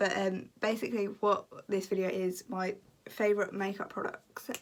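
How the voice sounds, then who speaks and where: Speaking at a moderate pace, a woman with a medium pitch talks in a British accent. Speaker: beauty YouTuber. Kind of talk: casual vlog talk. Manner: casual, many fillers.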